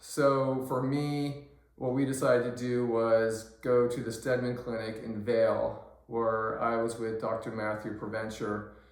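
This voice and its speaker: Amid audible room echo and noticeable background noise, a man speaks at medium pitch and a fairly slow pace in a monotone, flat intonation. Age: 60s. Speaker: patient vlogger. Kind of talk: personal vlog. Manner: hesitant, many fillers.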